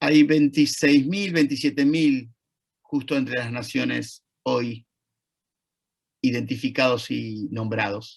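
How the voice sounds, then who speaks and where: Speaking very slowly with long, frequent pauses, a man with an Argentine accent uses ordinary pitch variation. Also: medium pitch for a man. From Argentina. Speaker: Holocaust educator, lecturer. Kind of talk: lecture.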